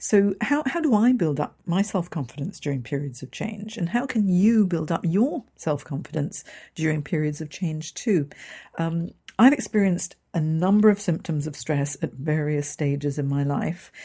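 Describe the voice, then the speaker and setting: A woman's fairly low, somewhat breathy voice with a dark, mellow tone and an English accent, lively intonation at a moderate pace, on a very clean recording with a silent background. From Hong Kong. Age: 50s. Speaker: career coach. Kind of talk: podcast monologue.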